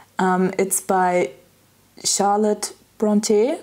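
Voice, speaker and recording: Speaking with a German accent, a woman has a medium pitch, a dark, mellow tone and ordinary pitch variation. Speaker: lifestyle vlogger. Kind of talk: casual vlog monologue. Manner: hesitant, frequent filler words.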